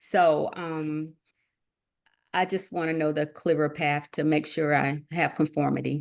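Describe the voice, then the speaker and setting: A woman's fairly low voice over a quiet background. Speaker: notary, call participant. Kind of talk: casual Q&A on a call.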